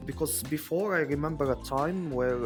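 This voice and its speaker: With music in the background, a man talks at a moderate pace and with ordinary pitch variation. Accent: Moroccan. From Morocco. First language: Moroccan Arabic. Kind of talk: interview answer.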